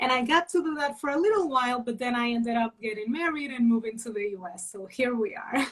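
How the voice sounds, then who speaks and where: A woman with a high voice talks at a moderate pace with hardly any pauses, her intonation lively and her loudness swinging widely. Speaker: criminal lawyer. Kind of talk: interview. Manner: hesitant in Portuguese.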